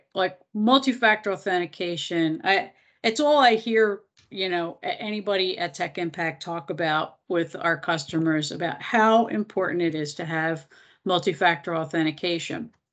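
Against a quiet background, a woman speaks at a moderate pace with a fairly low pitch. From Philadelphia, US. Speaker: nonprofit technology executive; presenter. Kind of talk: webinar presentation. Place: kitchen. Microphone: video call.

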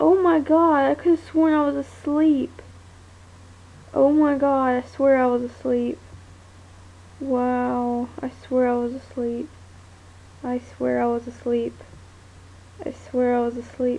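A woman mumbling, with long, frequent pauses. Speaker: vlogger. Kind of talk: casual vlog chat. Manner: slow, drowsy, half-asleep mumble. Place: home room. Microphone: phone near.

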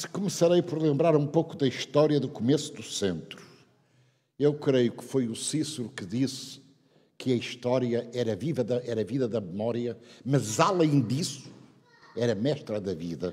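Over a quiet background, a man with a dark, mellow tone and medium pitch speaks at a fairly slow pace with lively intonation and long, frequent pauses. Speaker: retired university founder and professor, honoree; professor. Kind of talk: ceremonial speech. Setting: stage with audience. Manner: loud. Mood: reflective, anecdotal. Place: hall. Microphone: podium.

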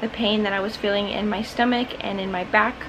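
A woman talks at a moderate pace with fairly even intonation. There is noticeable background noise. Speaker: vlogger. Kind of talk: casual vlog chat. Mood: calm, light laughs. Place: home room. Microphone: phone near.

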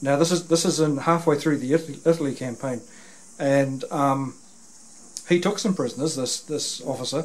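A man speaks with fairly even intonation at a moderate pace. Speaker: interviewer. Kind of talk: interview conversation, retelling a story. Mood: earnest, conversational. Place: home room.

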